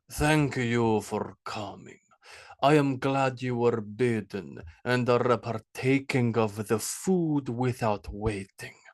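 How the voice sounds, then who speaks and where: A man's put-on character voice, resonant, at a medium pitch and a very slow pace. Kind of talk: formal, courteous.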